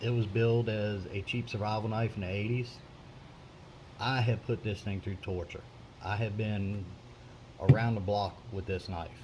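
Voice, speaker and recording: A man's fairly low voice at a moderate pace, with fairly even intonation, a relaxed tone and long, frequent pauses. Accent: American. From US South. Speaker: prepper video maker. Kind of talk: show-and-tell tutorial. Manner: casual, relaxed with hesitations.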